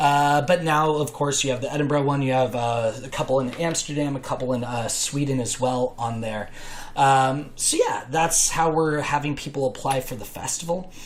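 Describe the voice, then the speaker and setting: Noticeable background noise sits behind a man with an American accent and a fairly high pitch. He keeps a moderate pace and fairly even intonation. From US, Los Angeles area. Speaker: improv festival organizer. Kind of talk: podcast interview. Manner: filler-heavy, casual.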